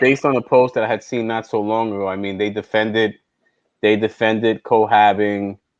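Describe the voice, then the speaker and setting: A man's fairly low voice in a New York accent, monotone and flat, at a moderate pace. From New York, South Bronx. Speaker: podcast host. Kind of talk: casual chat. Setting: live stream.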